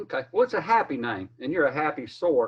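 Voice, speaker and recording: A man with a Southern US accent, lively intonation and a moderate pace. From South Carolina. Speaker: sports interviewer. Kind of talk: interview.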